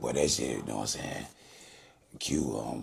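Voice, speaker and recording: A man's voice over noticeable background noise. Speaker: rapper. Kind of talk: casual interview.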